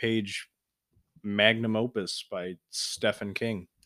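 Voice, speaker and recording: A man's medium-pitched voice at a very slow pace, monotone and flat, with a dry, close sound and no echo. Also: very clean recording, silent background. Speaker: podcast co-host and YouTuber. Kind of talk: casual chat. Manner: halting.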